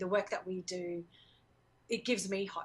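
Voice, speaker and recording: Here a woman speaks with an Australian accent at medium pitch. Her pace is moderate. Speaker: education organization worker. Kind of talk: interview.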